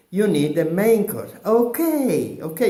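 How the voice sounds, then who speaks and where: Room echo is audible as a man with an Italian accent speaks in a high voice. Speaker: comedian. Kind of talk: comic monologue. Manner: halting.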